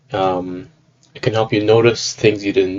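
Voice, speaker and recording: At a fairly quick pace, a man speaks in a fairly low pitch. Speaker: software developer demoing a project. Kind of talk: product demo. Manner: halting, many fillers.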